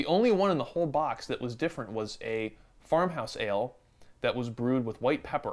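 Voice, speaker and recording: This man talks at a fairly quick pace with an American accent. His fairly high voice swings very widely in pitch. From Western New York State, Buffalo area. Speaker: guest beer enthusiast. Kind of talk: casual chat.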